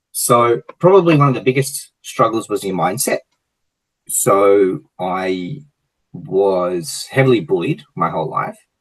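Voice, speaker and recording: The voice is loud and fairly slow, with very wide pitch swings. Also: man, medium pitch for a man. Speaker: gym franchise owner, entrepreneur. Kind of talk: interview. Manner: energetic.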